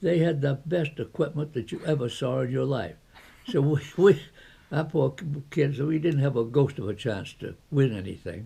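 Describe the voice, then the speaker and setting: A man speaks at a fairly slow pace with a fairly high pitch and ordinary pitch variation. His tone is dark and mellow, with vocal fry. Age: 80s+. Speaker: retired ski area founder. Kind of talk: interview answer.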